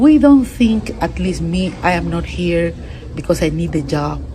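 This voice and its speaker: A woman speaks at a fairly slow pace. The room echoes audibly, and there is noticeable background noise. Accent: Spanish. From Peru. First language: Spanish. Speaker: international court judge. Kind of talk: interview. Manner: halting, with repetitions and fillers.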